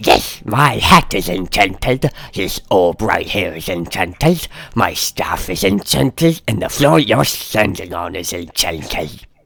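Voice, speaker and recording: Using a put-on character voice, this man pitches his speech very deep and low. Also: fairly slow pace. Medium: actual play. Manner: rambling, chuckling, theatrical.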